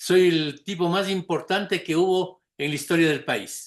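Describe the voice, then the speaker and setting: A man's high-pitched voice at a fairly slow pace against a quiet background. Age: old. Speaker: lecturer on political campaigns. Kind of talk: lecture.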